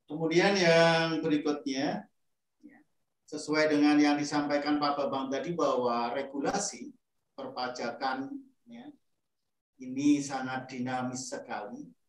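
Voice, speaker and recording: A man speaks fairly high and fairly slowly, with ordinary pitch variation and long, frequent pauses. His loudness swings widely, and the room echo is audible. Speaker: moderator. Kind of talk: formal moderating. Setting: video call. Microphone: video call.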